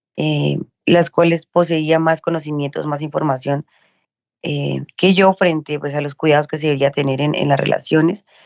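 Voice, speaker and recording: Speaking at a moderate pace, a woman with a very deep, low pitch holds a monotone, flat intonation in a dry, close sound with no echo. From Colombia. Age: 20s. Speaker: social worker and sex educator. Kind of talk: personal testimony in interview.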